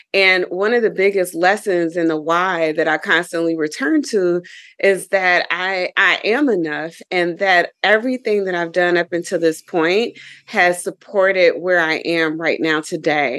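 A woman's normal speaking voice at a fairly slow pace, fairly low in pitch, with ordinary pitch variation and a quiet background. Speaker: yoga teacher. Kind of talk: casual interview.

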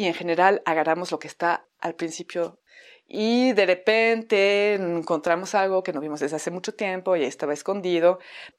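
A woman speaks with a fairly low pitch and fairly even intonation. The background is quiet. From France. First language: French (speaking Spanish). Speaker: theatre teacher and podcaster. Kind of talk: podcast monologue.

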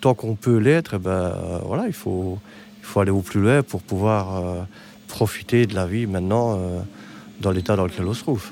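Fairly low male voice with a dark, mellow tone, ordinary pitch variation, and long, frequent pauses. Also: moderate pace. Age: 50s. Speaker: hospital technician and wheelchair user. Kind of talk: interview.

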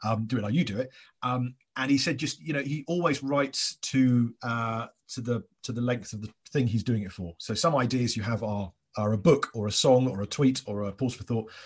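Quick-paced and somewhat breathy, a man speaks with an English accent. The background is quiet. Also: medium pitch for a man, ordinary pitch variation. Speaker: podcast host and comedian. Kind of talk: casual chat. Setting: remote call. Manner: fast.

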